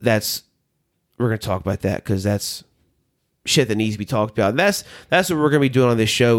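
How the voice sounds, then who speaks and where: Fairly low in pitch, a man talks with a Southern US accent. The recording is very clean, with a silent background. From US South. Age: 30s. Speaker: podcast host, former minister. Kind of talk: casual chat.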